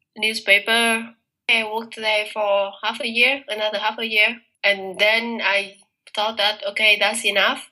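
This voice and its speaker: This woman speaks with a Vietnamese accent at a fairly slow pace. Her voice is fairly high, with a bright, sharp tone. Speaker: master's student. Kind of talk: interview.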